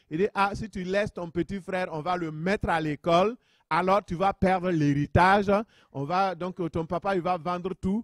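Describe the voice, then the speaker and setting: A man speaks at a high pitch with fairly even intonation. The sound is dry and close, with no echo. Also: moderate pace. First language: a local African language, French learned at school (speaking French). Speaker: pastor. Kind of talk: sermon.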